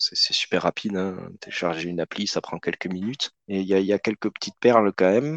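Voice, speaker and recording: A man's unremarkable speaking voice, fairly low-pitched and fairly quick, with ordinary pitch variation and a dry, close sound with no echo. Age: 30s. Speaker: board game hobbyist. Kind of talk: casual chat.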